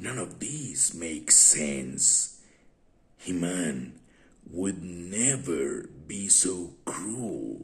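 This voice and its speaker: In a put-on character voice, a man goes very deep and low, with very wide pitch swings, at a very slow pace. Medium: read story. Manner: earnest.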